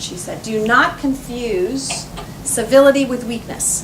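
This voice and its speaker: Amid audible room echo and noticeable background noise, a woman with an American accent talks at a fairly high pitch with lively intonation. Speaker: politician. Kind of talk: campaign speech. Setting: cocktail party with audience. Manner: fast.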